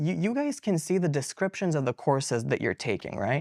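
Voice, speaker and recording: A man with very wide pitch swings, in a very clean recording with a silent background and a dry, close sound with no echo. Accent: Turkish. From Bulgaria, Plovdiv, ethnic Turkish. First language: Turkish. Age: young. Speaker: university student. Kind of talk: casual interview. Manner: animated; talkative, fast.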